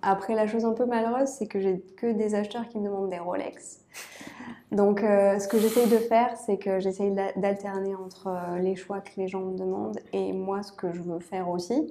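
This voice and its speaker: Intonation remains fairly even here. The pace is moderate. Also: woman, medium pitch for a woman. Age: 30s. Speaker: aerospace engineer and watch illustrator. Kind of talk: casual interview. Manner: hesitant, with fillers.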